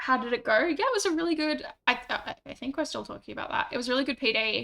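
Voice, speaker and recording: A woman's raised, projected voice, high in pitch, with lively intonation at a very fast pace. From Western Australia. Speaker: streamer. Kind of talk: casual chat.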